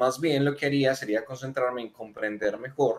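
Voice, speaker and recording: A man with an unremarkable speaking voice, medium pitch for a man, and fairly even intonation. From Colombia, Manizales. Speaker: software developer and tech community speaker. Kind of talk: casual tech discussion. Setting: video call.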